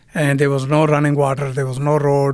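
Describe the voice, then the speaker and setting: A man speaks in a fairly high pitch. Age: 60s. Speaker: restaurant CEO. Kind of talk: in-person interview. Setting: office headquarters.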